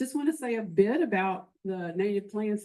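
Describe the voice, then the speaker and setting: This woman has a medium-pitched voice. Her tone is dark and mellow. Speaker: master naturalist volunteer presenter. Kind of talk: presentation to club meeting.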